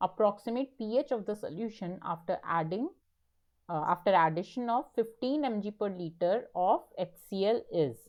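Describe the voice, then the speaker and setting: Her intonation lively, a woman speaks at medium pitch and a moderate pace in an ordinary speaking voice. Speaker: teaching assistant. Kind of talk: online tutorial session.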